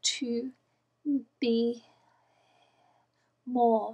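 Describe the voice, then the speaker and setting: In a quiet background, a woman speaks at a very slow pace. Her pitch is high. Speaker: personal video blogger. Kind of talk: personal talk to camera. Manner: quiet, low volume; halting, effortful speech. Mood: soft, reflective, halting. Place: home room. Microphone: webcam.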